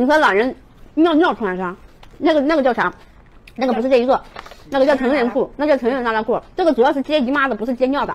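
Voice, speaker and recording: Loud shouting comes with ordinary pitch variation and long, frequent pauses. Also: woman, high pitch for a woman. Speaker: livestream seller. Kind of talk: live-stream sales pitch. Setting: live-stream room. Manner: fast, loud, hard-sell pitchman patter with countdowns and repeated prices; urgent, rhythmic, shouting 'get on board' calls to 'old iron' buyers. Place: home room. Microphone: lapel.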